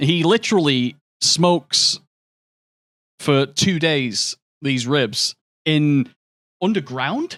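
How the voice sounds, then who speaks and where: A man's fairly high voice in a British accent at a very slow pace, with long, frequent pauses, lively intonation and very even loudness, in a very clean recording with a silent background. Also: dry, close sound with no echo. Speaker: video game streamer. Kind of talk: casual livestream chat. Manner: animated.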